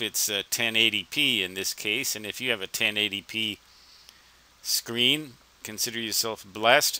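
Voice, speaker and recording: Over a dry sound with no echo, a man speaks at a moderate pace with ordinary pitch variation. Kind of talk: screen-recording walkthrough narration. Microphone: headset.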